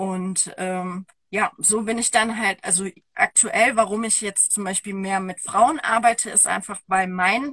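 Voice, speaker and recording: A woman's fairly slow delivery with ordinary pitch variation. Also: dry, close sound with no echo. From Germany. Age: 30s. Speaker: women's coach. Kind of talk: interview. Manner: halting.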